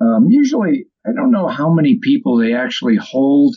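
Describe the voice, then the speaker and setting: A high-pitched man with an American accent and very wide pitch swings. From upstate New York, Albany area. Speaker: retired wildlife biologist. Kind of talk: interview.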